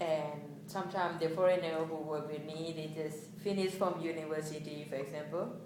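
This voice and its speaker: A woman with a non-native accent speaks in a very deep, low pitch with monotone, flat intonation. The recording has noticeable background noise and audible room echo. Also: fairly quick pace. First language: not English. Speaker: international graduate student. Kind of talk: research interview. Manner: halting.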